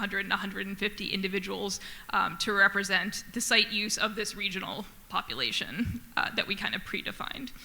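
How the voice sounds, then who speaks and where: In a room with audible echo, a woman speaks at a fairly quick pace at a medium pitch with fairly even intonation. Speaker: conservation researcher. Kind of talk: conference talk. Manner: fast.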